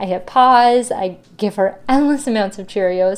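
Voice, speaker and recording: A woman talks in a fairly high pitch with lively intonation, an ordinary speaking voice. The recording is very clean, with a silent background. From Ontario, Canada. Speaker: podcast host. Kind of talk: solo podcast monologue.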